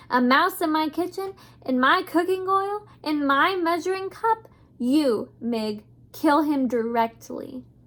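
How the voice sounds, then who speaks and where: Shouting in a put-on character voice, a woman sounds gruff yet high-pitched, with lively intonation and a fairly slow pace. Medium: read story. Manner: gruff, shouting.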